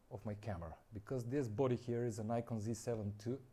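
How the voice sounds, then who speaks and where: A man with a non-native accent speaks at a moderate pace in a medium pitch. His tone is dark and mellow, and somewhat breathy. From North Macedonia. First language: Macedonian. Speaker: landscape photographer, brand ambassador. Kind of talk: product presentation. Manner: halting, with frequent fillers.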